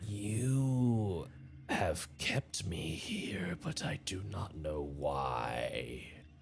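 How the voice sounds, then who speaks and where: Over clear background noise, a man growls in a put-on character voice at a very deep, low pitch, swinging his pitch very widely at a very slow pace. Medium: actual play. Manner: slow, bewildered.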